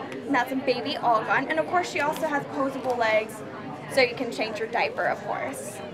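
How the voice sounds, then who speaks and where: Crowd noise fills the background. Over it, a woman speaks with ordinary pitch variation. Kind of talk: product demonstration. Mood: upbeat, friendly. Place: hall.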